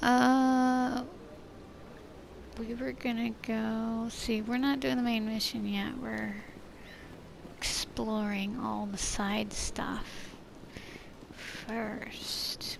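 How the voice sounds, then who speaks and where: With long, frequent pauses, a soft-spoken woman talks at a very slow pace amid audible room echo and noticeable background noise. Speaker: gaming streamer. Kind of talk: let's play commentary. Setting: alone in a room.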